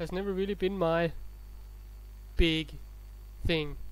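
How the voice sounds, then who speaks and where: A man with a non-native accent at a moderate pace. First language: not English. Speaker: let's play gamer. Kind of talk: gameplay commentary. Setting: home recording, low volume.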